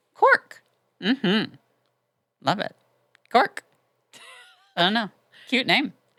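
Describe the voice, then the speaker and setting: A woman speaks loudly at a very slow pace, with a fairly high pitch, lively intonation and a bright, sharp tone. Long, frequent pauses break her speech, and the sound is dry and close with no echo. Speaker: podcast co-host. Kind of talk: casual chat. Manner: animated.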